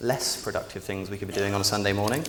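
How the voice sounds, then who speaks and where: A man with a British accent speaks amid noticeable background noise and audible room echo. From England, Oxford. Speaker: public speaker. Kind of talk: conference talk. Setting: stage with audience. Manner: many fillers and repetitions.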